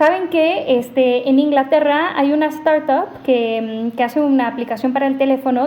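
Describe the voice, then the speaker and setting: Her intonation fairly even, a woman with a non-native accent speaks at a high pitch. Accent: foreign accent in Spanish. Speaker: AI ethics researcher. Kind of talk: podcast interview.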